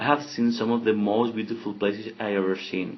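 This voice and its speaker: Speaking at a fairly quick pace with a Spanish accent, a man has a fairly low pitch and ordinary pitch variation. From Spain. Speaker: exchange student. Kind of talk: podcast monologue. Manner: halting.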